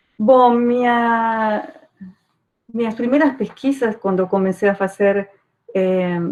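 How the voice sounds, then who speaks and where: A woman with a Uruguayan accent talks at a fairly slow pace, her pitch varying in an ordinary way. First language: Spanish (speaking Portuguese). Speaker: archaeology professor. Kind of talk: academic talk.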